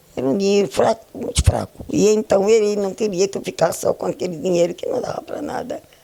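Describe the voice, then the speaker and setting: A woman talking with hardly any pauses over noticeable background noise. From Pernambuco, northeast Brazil. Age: 90s. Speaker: retired schoolteacher. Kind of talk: oral history interview. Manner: halting.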